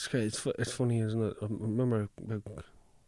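Very fast and monotone, this man speaks in an Irish accent with a dark, mellow tone and fairly low pitch. The recording is very clean, with a silent background. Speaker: actor and comedian. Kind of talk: casual chat.

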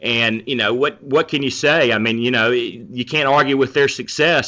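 A moderate pace in a Southern US accent. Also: man. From North Carolina, Charlotte. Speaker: sports journalist. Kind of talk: casual interview.

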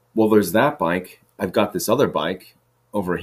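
A man's raspy, put-on character voice, fairly low in pitch, at a moderate pace.

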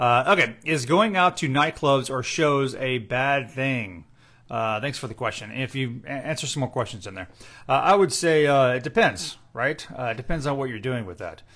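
In a very clean recording with a silent background, a man speaks with a bright, sharp tone, lively intonation and big swings in loudness. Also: medium pitch for a man, moderate pace. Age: 40s. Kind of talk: Bible study chat. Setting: Instagram Live session. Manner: casual, with fillers.

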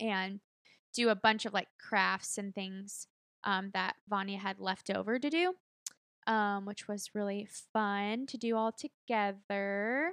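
With an American accent, a woman's bright, sharp tone comes through in a dry, close sound with no echo and a very clean recording with a silent background. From Texas. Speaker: podcast host. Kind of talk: casual chat. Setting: home studio.

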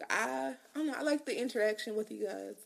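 The speaker talks at a fairly quick pace with vocal fry and ordinary pitch variation. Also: woman, fairly high pitch for a woman.

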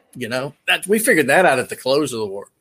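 A bright, sharp voice with a Tennessee accent shows ordinary pitch variation in a very clean recording with a silent background. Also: man. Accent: Tennessee Southern. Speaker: military veteran. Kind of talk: casual chat.

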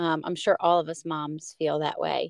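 Dry and close with no echo, a woman's fairly low voice comes through in an American accent, flat and monotone at a fairly slow pace. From United States. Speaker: podcast host. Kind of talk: casual interview chat.

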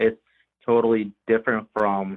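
A man speaks at a fairly slow pace in a fairly low pitch. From Bulgaria, moved to US at five. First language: Bulgarian. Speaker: immigrant interviewee. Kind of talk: interview.

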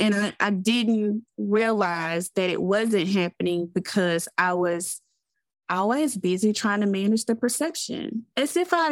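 The speaker has a Southern US accent and talks at a fairly slow pace with very even loudness. The recording is very clean, with a silent background. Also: woman. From US South. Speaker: therapist and business owner. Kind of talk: casual interview chat.

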